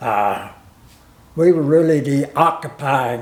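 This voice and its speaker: A man with an Appalachian accent speaks at a very slow pace, his pitch fairly high and its variation ordinary. Audible room echo surrounds his voice. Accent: Appalachian Southern American. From US South, Virginia. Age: 90s. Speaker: war veteran. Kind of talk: interview testimony. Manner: halting.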